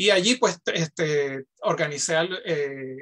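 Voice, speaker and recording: The background stays quiet. A man talks, his pitch varying in an ordinary way. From Puerto Rico. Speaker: professor. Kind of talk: panel discussion. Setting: video call. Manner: halting. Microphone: video call.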